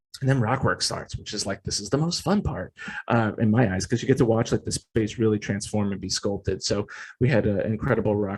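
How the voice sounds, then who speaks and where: A plain, everyday voice with an American accent and ordinary pitch variation. The recording is very clean, with a silent background. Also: man. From New Jersey, US. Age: 20s. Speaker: themed entertainment art director. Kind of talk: presentation with Q and A. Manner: casual, many fillers and restarts.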